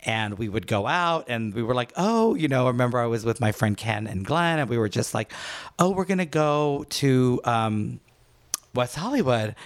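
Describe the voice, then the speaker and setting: A man with an ordinary speaking voice talks at a moderate pace and a medium pitch, with lively intonation. The recording is very clean, with a silent background. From Trinidad, moved to the US for university. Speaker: former fitness instructor and event operations head in recovery. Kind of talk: casual interview, personal testimony.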